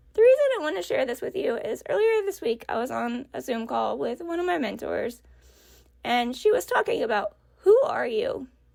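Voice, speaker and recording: Her pitch swings very widely as a woman speaks at a moderate pace in a dark, mellow tone, with long, frequent pauses. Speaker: podcast host. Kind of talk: personal reflection monologue. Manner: candid, conversational.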